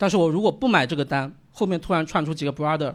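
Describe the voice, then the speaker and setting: A man talks at a very fast pace. His voice sits at a fairly high pitch. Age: 30s. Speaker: stand-up comedian. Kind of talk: stand-up set. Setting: stage with audience.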